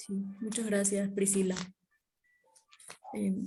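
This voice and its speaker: A woman speaks in a somewhat breathy voice. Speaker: focus group moderator, master's student. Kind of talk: focus group moderation. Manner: fast.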